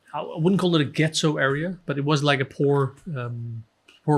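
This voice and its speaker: A man with a Danish accent talks at a moderate pace in a somewhat breathy voice with fairly even intonation. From Denmark. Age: 30s. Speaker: author and Sikh history researcher. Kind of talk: podcast interview.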